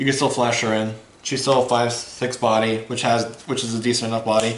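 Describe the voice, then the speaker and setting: With audible room echo and noticeable background noise, a man's medium-pitched voice holds fairly even intonation. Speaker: card game YouTuber. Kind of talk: deck profile tutorial. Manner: fast; casual, halting with fillers.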